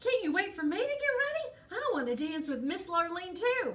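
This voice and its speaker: A woman uses a put-on character voice that is squeaky and extremely high in pitch. Her pitch swings very widely as she talks at a moderate pace. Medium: read story.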